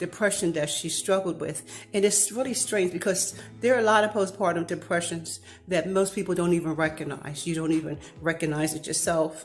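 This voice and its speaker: Fairly quick speech from a woman with a fairly low pitch and fairly even intonation, with music in the background. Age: 60s. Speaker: mother sharing personal experience. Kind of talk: testimony.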